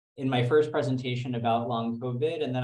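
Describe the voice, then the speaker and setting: Medium-pitched male voice with an American accent and audible room echo. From New York. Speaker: physician and researcher. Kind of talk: lecture. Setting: video call from office.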